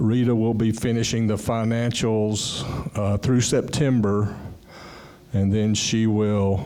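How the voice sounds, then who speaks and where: Speaking very slowly with a fairly low pitch, a man holds a monotone, flat intonation at very even loudness, while noticeable background noise and audible room echo fill the recording. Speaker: condo board member. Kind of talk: board meeting report.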